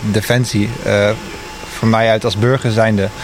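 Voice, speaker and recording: At a moderate pace, a man talks while noticeable background noise plays behind him. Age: 20s. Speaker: junior designer, technical support. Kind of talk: interview.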